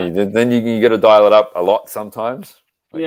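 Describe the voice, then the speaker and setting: A man with an Australian accent talks at a very fast pace. His pitch sits in the middle, with ordinary variation. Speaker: podcast guest. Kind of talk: casual, conversational.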